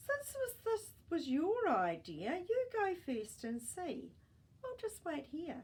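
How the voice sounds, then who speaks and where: Put-on character voice from a woman, extremely high in pitch, at a very slow pace. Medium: read story.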